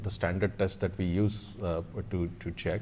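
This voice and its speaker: Dark, mellow male tones, medium tempo, normal rise and fall in pitch. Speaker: hospital doctor. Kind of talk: panel Q&A. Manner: loud; hesitant, many fillers.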